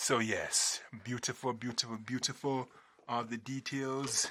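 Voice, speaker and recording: A man speaks at a medium pitch with a bright, sharp tone. His pitch rises and falls in an ordinary way. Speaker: YouTuber reviewing toy spinning tops. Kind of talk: casual vlog commentary. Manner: loud. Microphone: somewhat far from camera mic.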